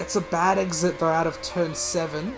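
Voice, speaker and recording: With music in the background, a man speaks in a high voice. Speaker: sim racing commentator. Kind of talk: live commentary. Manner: hesitant, self-correcting.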